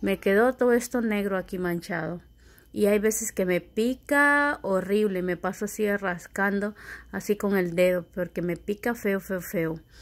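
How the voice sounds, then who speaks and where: A woman's medium-pitched voice, fairly slow in pace, with ordinary pitch variation. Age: 30s. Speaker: vlogger. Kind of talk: casual vlog talking to camera. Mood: annoyed, complaining. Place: home room. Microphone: phone near.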